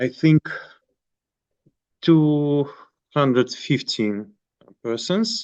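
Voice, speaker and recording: A man with a Russian accent talks at a very slow pace with a fairly high pitch and ordinary pitch variation, in a dry, close sound with no echo. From Moscow, Russia. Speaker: monk priest. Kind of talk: online group meeting. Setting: video call. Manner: halting.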